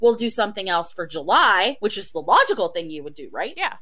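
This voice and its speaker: An animated voice with an American accent moves at a fairly quick pace. Noticeable background noise runs underneath. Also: woman. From Oklahoma. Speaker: podcast co-host. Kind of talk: casual chat.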